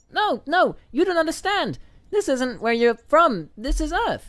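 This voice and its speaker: This put-on character voice is squeaky and high-pitched. It moves at a moderate pace. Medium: cartoon. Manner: nervous.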